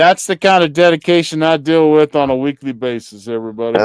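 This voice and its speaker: A man speaks very fast with a Kentucky accent in a fairly high voice. The tone is playful, and the sound is dry and close with no echo. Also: ordinary pitch variation. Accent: Kentucky country. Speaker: podcast host. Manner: playful, jokey.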